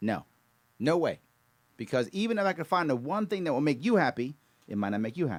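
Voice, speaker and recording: A man with a fairly high pitch and an American accent, very fast pace, very wide pitch swings, and long, frequent pauses. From New York. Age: 50s. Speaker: political candidate. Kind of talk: political speech.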